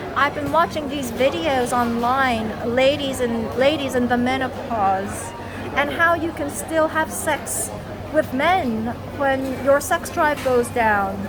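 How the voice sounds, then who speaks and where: Over music in the background and audible room echo, a woman talks at a fairly slow pace with a high pitch and lively intonation. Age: 40s. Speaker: vlogger. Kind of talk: casual vlog monologue. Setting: coffee shop.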